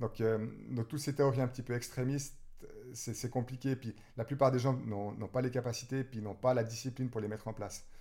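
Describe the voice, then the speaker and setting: A man speaks at a fairly quick pace with a dark, mellow tone and medium pitch. His intonation is monotone and flat, and his voice is somewhat breathy. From Switzerland, Vaud (Nyon, Yverdon). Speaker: runner and sports shop owner. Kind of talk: casual interview. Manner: halting.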